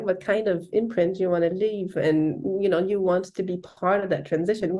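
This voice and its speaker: With a French accent, a woman speaks at a moderate pace in a dark, mellow tone. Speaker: leadership development consultant. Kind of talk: casual interview chat.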